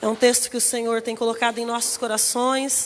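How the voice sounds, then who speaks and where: A woman speaks at a fairly quick pace in a monotone, flat intonation. There is noticeable background noise. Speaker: pastor. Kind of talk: sermon. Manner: soft-spoken at first, getting louder.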